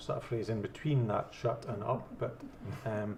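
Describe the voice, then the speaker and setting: A man speaks at a moderate pace and medium pitch. His tone is dark and mellow, and somewhat breathy. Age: 50s. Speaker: debate panelist, yes campaigner. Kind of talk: debate.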